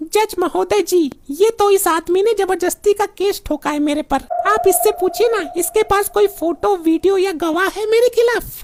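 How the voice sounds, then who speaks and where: A woman's cartoonish character voice, extremely high in pitch, with hardly any pauses. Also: moderate pace, ordinary pitch variation. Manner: chatty.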